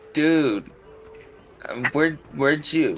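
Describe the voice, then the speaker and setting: A man speaks in a put-on character voice. His pitch sits fairly high. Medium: actual play. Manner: laid-back, slangy.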